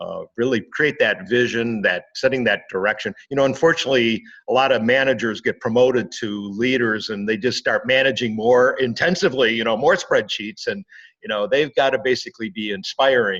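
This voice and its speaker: In a normal speaking voice, a man talks at a fairly quick pace with medium pitch and ordinary pitch variation over a quiet background. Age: 60s. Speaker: business consultant and author. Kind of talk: interview. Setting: podcast.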